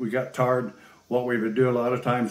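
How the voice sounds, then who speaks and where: Audible room echo surrounds a man who talks at a moderate pace. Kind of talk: interview answer. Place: home room.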